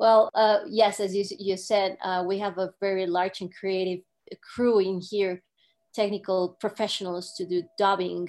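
A woman with an ordinary speaking voice talks at a medium pitch with fairly even intonation, in a very clean recording with a silent background. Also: fairly slow pace. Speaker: film marketer and producer. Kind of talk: interview.

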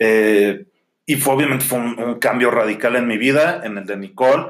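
At a moderate pace, a man talks at a medium pitch in an ordinary speaking voice. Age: 30s. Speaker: podcast co-host. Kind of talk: casual chat.

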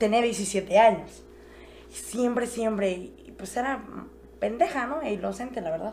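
Over noticeable background noise and audible room echo, a woman speaks at a fairly high pitch in an animated tone with ordinary pitch variation. Her fairly slow delivery has long, frequent pauses and big swings in loudness. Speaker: podcast guest. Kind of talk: casual chat.

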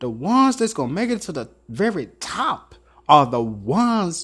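At a fairly slow pace, a man with a high pitch speaks with very wide pitch swings. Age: 30s. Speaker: podcast host and author. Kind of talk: motivational monologue.

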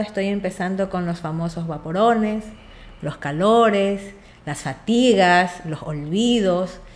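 With an unremarkable speaking voice, a woman talks at medium pitch and a fairly slow pace. Her intonation is lively. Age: 40s. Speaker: patient. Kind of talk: medical consultation chat.

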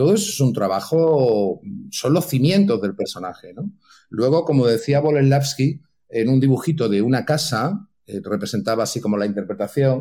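Medium pitch with very wide pitch swings, a dark, mellow tone and a moderate pace from a man. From Catalonia (Santa Coloma de Gramenet, near Barcelona). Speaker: actor. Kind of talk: casual interview.

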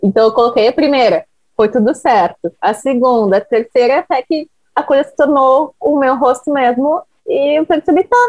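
Recorded dry and close with no echo, a woman talks at a moderate pace in a high pitch. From Porto Alegre, Brazil. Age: 20s. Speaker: social media influencer. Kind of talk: casual interview.

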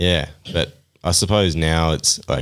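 A man with a very deep, low voice, vocal fry and an Australian accent. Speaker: mountain bike racer. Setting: studio.

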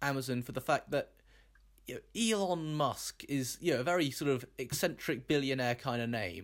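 In a very clean recording with a silent background, a man uses an ordinary speaking voice, fairly high in pitch, with lively intonation at a moderate pace. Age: 20s. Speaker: podcast host and quizmaster. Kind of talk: casual chat.

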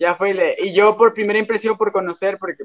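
A man talks very fast in a high voice with very wide pitch swings, the sound dry and close with no echo. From Mexico, Cancún. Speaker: podcast co-host. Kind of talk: casual chat.

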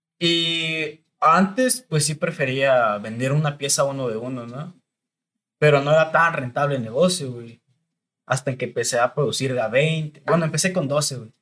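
A man talks at a fairly slow pace with a fairly high pitch. His tone is bright and sharp, with ordinary pitch variation. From Mexico, Estado de México (Chalco). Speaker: clothing brand founder. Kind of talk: casual chat.

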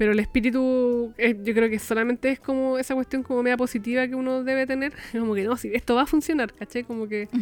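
A woman with a Chilean accent talks at a very fast pace with hardly any pauses. Her pitch is high, her intonation is fairly even, and background noise is noticeable. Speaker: podcast co-host, crafter. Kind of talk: casual chat. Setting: recording from home.

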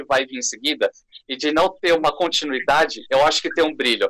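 A man talks at a fairly quick pace. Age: 20s. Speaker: YouTuber and scriptwriter. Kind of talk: casual chat.

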